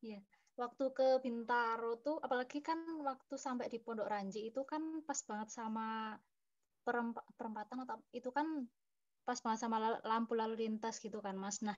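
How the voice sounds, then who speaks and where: This woman has an ordinary speaking voice with a fairly high pitch. Her intonation stays fairly even. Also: moderate pace. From Purworejo, Central Java. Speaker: student. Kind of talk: class discussion.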